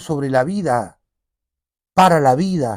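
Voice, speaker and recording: On a very clean recording with a silent background, a man speaks very slowly in a high pitch. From Uruguay, Montevideo. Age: 50s. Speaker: payador (improvising folk poet-singer). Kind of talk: interview conversation.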